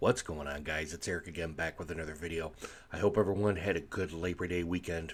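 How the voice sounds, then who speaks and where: A man with a very deep, low voice speaks quietly at a very fast pace with fairly even intonation. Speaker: sports vlogger. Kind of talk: casual sports commentary. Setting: at home. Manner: quiet, low volume; hesitant, many fillers.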